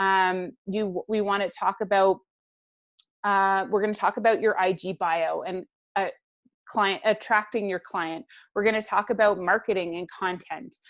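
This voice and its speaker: At a moderate pace and with fairly even intonation, a woman speaks in a plain, everyday voice. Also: medium pitch for a woman. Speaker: business coach. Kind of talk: webinar presentation. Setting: live webinar.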